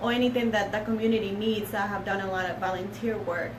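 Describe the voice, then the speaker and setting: A woman's voice with a non-native accent, audible room echo and noticeable background noise. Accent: foreign accent, still noticeable. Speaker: paralegal. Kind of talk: casual chat. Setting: live stream.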